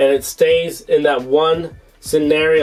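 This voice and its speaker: Fairly even intonation over music in the background. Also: man. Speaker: tech product reviewer. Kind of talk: product review tutorial.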